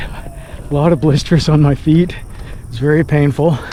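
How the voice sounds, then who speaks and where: Noticeable background noise behind a man's fairly high voice. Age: 60s. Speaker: amateur runner. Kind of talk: casual talk to camera. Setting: outdoors.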